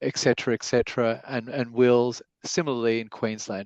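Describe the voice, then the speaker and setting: Australian accent from a man at medium pitch, moderate pace, dry, close sound with no echo and a quiet background. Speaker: lawyer, webinar speaker. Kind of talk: webinar presentation. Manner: halting, many fillers.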